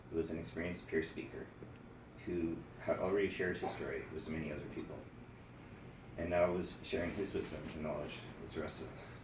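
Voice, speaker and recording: Soft-spoken and at a fairly quick pace, the speaker leaves long, frequent pauses amid audible room echo and noticeable background noise. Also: man. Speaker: mental health program participant. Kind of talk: prepared speech.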